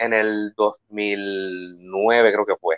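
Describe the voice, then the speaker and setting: The man speaks at a fairly low pitch. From Puerto Rico, Quebradillas. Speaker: musician. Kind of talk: interview. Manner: halting.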